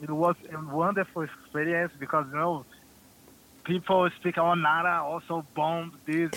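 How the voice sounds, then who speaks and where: Slow-paced and flat, a man with a Brazilian accent speaks in a high pitch, his intonation monotone throughout. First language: Portuguese. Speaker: professional footballer. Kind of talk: interview.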